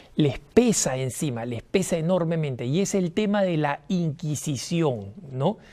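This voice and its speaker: A man speaks in a dark, mellow tone. His pace is fairly slow and his intonation lively. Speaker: TV host. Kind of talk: TV monologue on religious history. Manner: animated.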